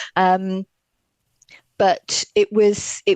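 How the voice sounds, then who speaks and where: A woman's voice with a slight Welsh accent, in a dry, close sound with no echo. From Wales, Welsh-English border near South Wales valleys. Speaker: fashion historian. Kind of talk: podcast interview. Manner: halting, many fillers.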